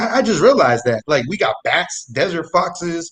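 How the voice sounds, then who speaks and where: At a moderate pace, a man speaks loudly in an animated tone. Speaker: comedic storyteller guest. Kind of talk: casual chat. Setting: live online show.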